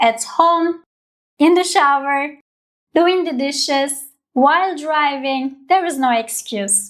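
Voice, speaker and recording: Very slow pace in a Turkish accent, with ordinary pitch variation. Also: woman, high pitch for a woman. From Turkey. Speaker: language teacher. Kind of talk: tutorial.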